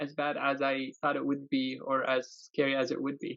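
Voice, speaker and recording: A man speaks at a moderate pace with an Arabic accent. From Yemen. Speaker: aerospace test engineer. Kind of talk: interview. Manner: hesitant, many fillers.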